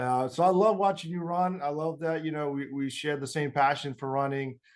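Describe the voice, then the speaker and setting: With an American accent, a man has a normal speaking voice, a fairly high pitch and ordinary pitch variation. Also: fairly quick pace. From US, military family. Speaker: marathon runner. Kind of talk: interview.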